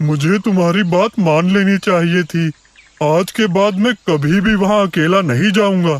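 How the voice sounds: A man performs a cartoonish character voice. His pitch sits high. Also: moderate pace.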